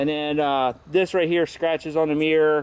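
Speaking at a fairly quick pace, a man comes through dry and echo-free over light background noise. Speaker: motorcycle vlogger. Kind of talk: casual vlog chat. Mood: relaxed, joking. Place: street. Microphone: phone near.

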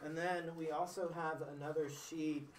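Room echo is audible, along with light background noise. A man speaks fairly slowly in a flat monotone. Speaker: presenter. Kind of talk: lecture. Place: classroom. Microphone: camera far.

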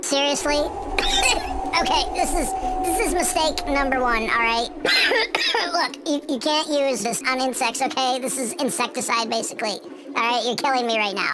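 A cartoonish character voice talks at a moderate pace. Loud background noise runs underneath. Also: female-sounding voice, high pitch for a woman. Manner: casual, exasperated.

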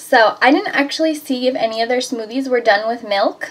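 Pitch moves with ordinary variation. The pace is moderate. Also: woman. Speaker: vlogger. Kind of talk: casual vlog chat. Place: home room. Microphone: phone near.

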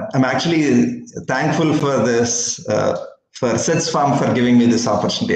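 The pace is moderate. Room echo is audible. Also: man. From India. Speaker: dairy startup founder. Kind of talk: webinar presentation. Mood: warm and smiling. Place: office. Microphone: video call.

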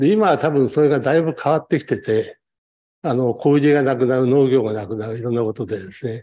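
A man's medium-pitched voice, dark and mellow in tone, at a very fast pace. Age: 70s. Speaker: audience member asking questions; audience member. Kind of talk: question from the floor. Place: hall.

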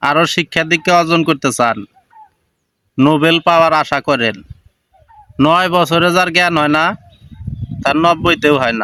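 Recorded dry and close with no echo, a man speaks at a fairly high pitch with ordinary pitch variation. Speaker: commentary video maker. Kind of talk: reaction commentary. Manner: animated.

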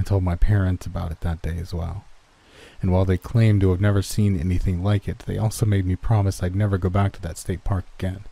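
A man's very deep, low voice, very fast and somewhat breathy, with a dark, mellow tone and monotone, flat intonation. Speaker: online horror story narrator. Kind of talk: horror story narration.

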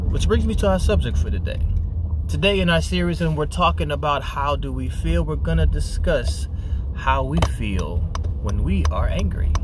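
Noticeable background noise sits behind a man's voice. His pitch varies in an ordinary way, and the sound is dry with no echo. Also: moderate pace. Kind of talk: kids ministry talk to camera. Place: car. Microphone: phone near.

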